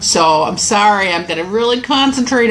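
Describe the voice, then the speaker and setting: A fairly slow pace and ordinary pitch variation, with audible room echo and noticeable background noise. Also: woman. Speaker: Bible study teacher on weight loss. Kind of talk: Bible study lesson.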